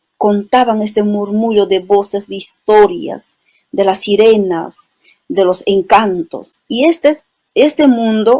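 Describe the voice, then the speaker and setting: Fairly high in pitch, a woman with an Andean accent has a dark, mellow tone and ordinary pitch variation. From Peru, Cusco highlands (Chisicata, Espinar). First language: Quechua (speaking Spanish). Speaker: poet and writer. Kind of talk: interview. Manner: poetic, lyrical.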